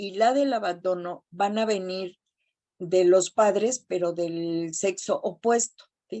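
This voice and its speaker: Very slowly, a woman speaks in a mid-range voice whose pitch shifts in an ordinary way. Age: 60s. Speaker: support group speaker. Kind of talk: testimony.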